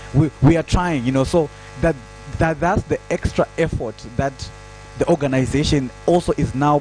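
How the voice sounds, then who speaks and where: Speaking with a Zimbabwean accent, a man with a fairly high pitch and ordinary pitch variation is heard over noticeable background noise. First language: Shona. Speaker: digital security trainer. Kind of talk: panel discussion. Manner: halting.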